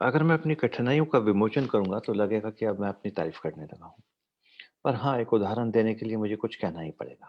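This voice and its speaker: A man's unremarkable speaking voice, medium in pitch and moderate in pace, with big swings in loudness. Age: 60s. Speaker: doctor and motivational speaker. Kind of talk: motivational talk with Q&A. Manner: fluent Hindi-English code-switching.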